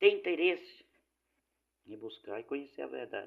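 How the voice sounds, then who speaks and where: A man speaks at a fairly slow pace. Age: 60s. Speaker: lay preacher. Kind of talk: informal sermon.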